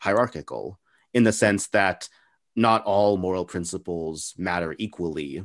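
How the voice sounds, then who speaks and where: This man has a very deep, low pitch. He talks with an American accent. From El Paso, far west Texas. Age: 20s. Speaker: podcast interviewer. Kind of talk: casual interview chat. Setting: video call.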